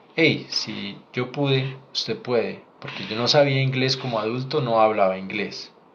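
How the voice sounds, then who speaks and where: A man's medium-pitched voice at a fairly slow pace, with ordinary pitch variation, hardly any pauses, and noticeable background noise. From Colombia. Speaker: doctor. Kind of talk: live Q&A stream. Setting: livestream.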